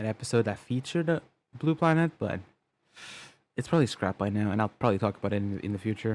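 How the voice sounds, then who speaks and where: A man is talking. He leaves long, frequent pauses. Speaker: animated series creator reacting to own episode. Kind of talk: casual reaction commentary. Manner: halting, stumbling over words; casual with swearing.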